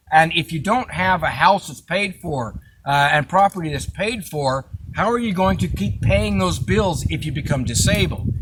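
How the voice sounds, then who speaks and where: Over noticeable background noise, the voice swings very widely in pitch at a moderate pace. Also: man, fairly high pitch for a man. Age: 60s. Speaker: off-grid living vlogger. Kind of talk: casual chat. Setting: outdoors by a campfire. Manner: hesitant with frequent uh fillers.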